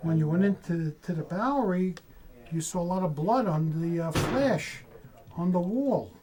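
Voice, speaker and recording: Someone speaks with a New York accent and ordinary pitch variation. Noticeable background noise runs underneath. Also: man, high pitch for a man, moderate pace. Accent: New York area. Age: 60s. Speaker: tattoo artist. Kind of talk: casual chat.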